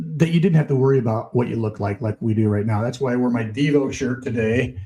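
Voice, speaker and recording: A man with a medium pitch and an American accent, ordinary pitch variation, at a very fast pace. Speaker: former radio DJ. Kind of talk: casual interview chat.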